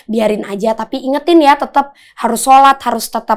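A woman is speaking. The background is quiet. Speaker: psychic medium; podcast guest. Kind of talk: casual interview chat. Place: studio.

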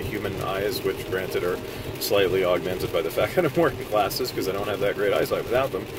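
The voice has a dry sound with no echo, over noticeable background noise. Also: man. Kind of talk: commentary. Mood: slightly nervous, analytical. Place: car.

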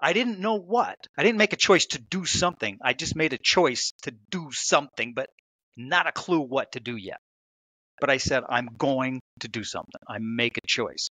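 A man with an American accent and a fairly high pitch, bright and sharp, with very wide pitch swings at a moderate pace, dry sound with no echo, and a quiet background. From United States. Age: 50s. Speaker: author; podcast guest. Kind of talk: interview. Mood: reflective, earnest. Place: home room. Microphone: headset.

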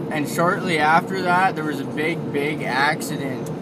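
A man talks fairly slowly through loud background noise. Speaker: driver vlogger. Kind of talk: casual vlog chat. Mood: sober about fatal crash. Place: car. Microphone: phone near.

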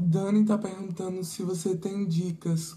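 The voice has a dark, mellow tone. It is somewhat breathy. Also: woman. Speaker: assistant reading viewer comments. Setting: live stream.

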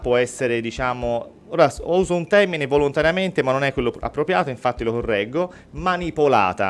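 Faint music plays in the background as a man speaks fairly quickly. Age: 40s. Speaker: mentalist and real estate agent; guest. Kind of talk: radio interview and mentalism demonstration. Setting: radio studio.

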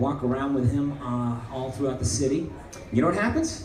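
At a moderate pace, the speaker is heard with audible room echo and light background noise. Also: man. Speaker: stand-up comedian. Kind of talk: stand-up comedy set. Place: stage.

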